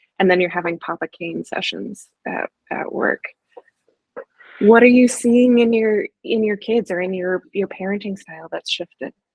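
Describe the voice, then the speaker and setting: An ordinary speaking voice from a woman at medium pitch, moderate pace, ordinary pitch variation and big swings in loudness, in a dry, close sound with no echo. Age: 40s. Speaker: therapist and podcast host. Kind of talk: podcast interview.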